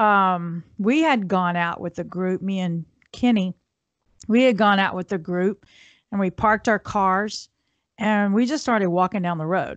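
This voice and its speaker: A woman's normal speaking voice, medium in pitch, with ordinary pitch variation, at a fairly slow pace, in a dry, close sound with no echo against a quiet background. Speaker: podcast co-host. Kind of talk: casual chat.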